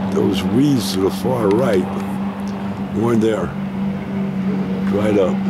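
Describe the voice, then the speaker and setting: A man's voice comes through dry, with no echo. Loud background noise runs behind him. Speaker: travel vlogger. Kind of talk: casual vlog commentary. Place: waterside. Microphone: phone near.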